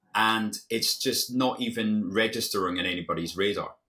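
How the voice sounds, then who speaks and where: Speaking with a British accent, a man keeps a fairly quick pace. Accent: UK. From Scotland. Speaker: former hedge fund manager, investing educator. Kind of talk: interview. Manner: halting, frequent repetitions.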